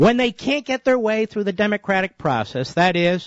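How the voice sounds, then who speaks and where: Speaking at a moderate pace, the man has a passionate tone. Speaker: conservative talk radio host. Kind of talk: talk radio monologue. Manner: emphatic, passionate.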